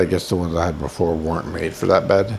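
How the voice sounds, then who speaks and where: A man's very deep, low voice with an American accent, fairly even intonation and a moderate pace, over noticeable background noise. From Boston, US. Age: 60s. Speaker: video blogger, nursing home resident. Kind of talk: casual vlog monologue. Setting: in bed at a nursing home. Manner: rambling, halting.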